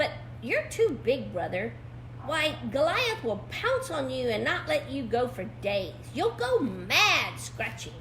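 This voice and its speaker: The speaker uses a put-on character voice at a middle pitch. The pace is fairly slow, and there is clear background noise. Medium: read story.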